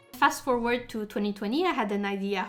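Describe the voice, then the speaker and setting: A woman with a French accent speaks at a fairly high pitch, her intonation lively. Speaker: fantasy writer. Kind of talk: casual talk to camera. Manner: chatty.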